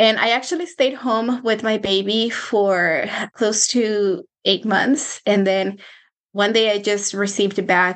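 In a Spanish accent, a woman with a medium pitch speaks at a fairly slow pace with fairly even intonation. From Mexico, Michoacán. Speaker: personal finance coach. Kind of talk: interview.

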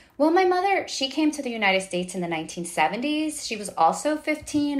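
Her pitch swinging very widely, a woman with a New York accent speaks at a moderate pace. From New York City. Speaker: novelist. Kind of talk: interview. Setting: at home, remote call.

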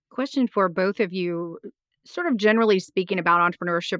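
Against a quiet background, a woman with a plain, everyday voice talks at a fairly quick pace, her fairly low pitch held in fairly even intonation, and the sound is dry and close with no echo. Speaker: podcast host. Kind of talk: interview conversation.

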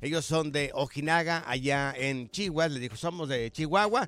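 This man's bright, sharp tone comes through at a moderate pace. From Mexico, Jalisco (rural). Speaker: radio host. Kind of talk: casual chat. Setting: studio. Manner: animated.

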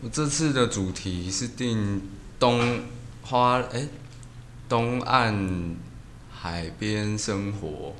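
A man's fairly low voice with ordinary pitch variation, very slow with long, frequent pauses and audible room echo. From Taiwan, Hualien. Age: 20s. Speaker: tattoo artist. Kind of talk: casual chat.

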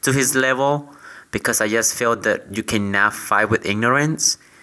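Medium-pitched with ordinary variation, a man with a Latin American accent speaks at a fairly slow pace in a bright, sharp tone. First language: Spanish. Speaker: podcast co-host. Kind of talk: casual chat.

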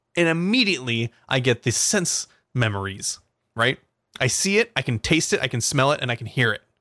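In a very clean recording with a silent background, a man speaks at a fairly quick pace, his tone bright and sharp and his intonation lively. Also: medium pitch for a man, dry, close sound with no echo. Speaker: podcast co-host. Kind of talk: casual chat.

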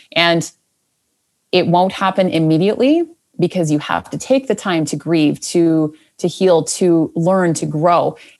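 On a very clean recording with a silent background, a woman with an unremarkable speaking voice talks at a fairly slow pace, fairly low in pitch, with ordinary pitch variation. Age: 30s. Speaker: podcast coach. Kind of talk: interview.

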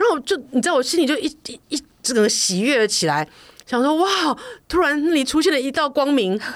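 Her voice high-pitched, a woman speaks at a fairly quick pace with lively intonation. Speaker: podcast co-host, food enthusiast. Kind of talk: casual chat.

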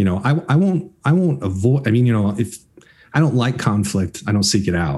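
A man with an American accent speaks fairly quickly in a fairly low, dark, mellow voice that is somewhat breathy. His pitch swings very widely while his loudness stays very even. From Florida. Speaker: film and television producer. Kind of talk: interview.

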